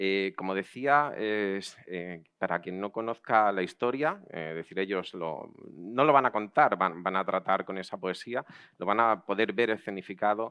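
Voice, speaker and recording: Against a quiet background, a man speaks at a fairly slow pace. His fairly low voice has a bright, sharp tone and ordinary pitch variation. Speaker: event host. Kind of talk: welcome speech at a live event. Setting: outdoor patio with audience. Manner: halting, with hesitations and repeated words.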